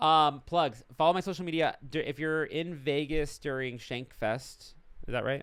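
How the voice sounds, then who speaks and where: At a moderate pace, a man with a fairly high voice talks with fairly even intonation on a very clean recording with a silent background. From Los Angeles, born in Argentina. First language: Spanish. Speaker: stand-up comedian. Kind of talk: casual chat.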